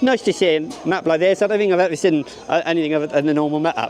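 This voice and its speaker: Noticeable background noise surrounds a man speaking at a fairly quick pace with lively intonation. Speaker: theme park vlogger. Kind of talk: casual vlog walkthrough. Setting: outdoors at a theme park. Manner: fast.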